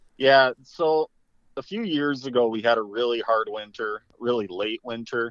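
A man speaks at a moderate pace and medium pitch with ordinary pitch variation in an unremarkable speaking voice, the sound dry and close with no echo against a quiet background. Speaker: fishing guide. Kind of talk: casual interview. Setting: phone call.

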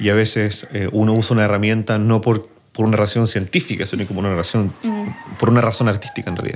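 A fairly low-pitched man's voice at a very fast pace, with fairly even intonation and noticeable background noise. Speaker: podcast host and music producer. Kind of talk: casual chat.

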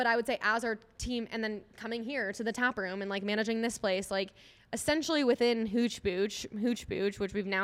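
In an American accent, a woman with a plain, everyday voice talks fairly quickly at a medium pitch with fairly even intonation. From Minnesota (Eagan, Twin Cities suburb). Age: 20s. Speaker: kombucha company founder. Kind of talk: casual interview. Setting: in a tap room.

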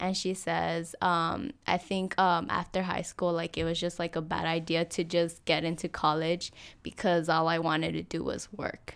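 A woman with vocal fry speaks at a moderate pace with hardly any pauses, in a fairly low, monotone voice with flat intonation, on a very clean recording with a silent background. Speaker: student guest. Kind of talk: casual interview chat. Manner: hesitant, many fillers.

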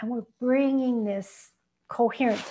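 The tone is soothing and gentle, with monotone, flat intonation. Delivery comes at a fairly slow pace. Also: woman. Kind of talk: guided meditation. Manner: slow, soothing and gentle, with long pauses between phrases.

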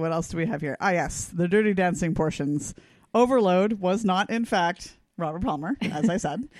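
Against a quiet background, a plain, everyday voice moves at a moderate pace with ordinary pitch variation. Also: woman. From British Columbia, Canada. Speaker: podcast co-host. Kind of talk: casual chat.

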